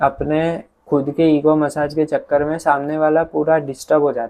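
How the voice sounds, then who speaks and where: A man speaks at a fairly high pitch. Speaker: youtuber. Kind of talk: personal vlog monologue. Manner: calm, soft-spoken.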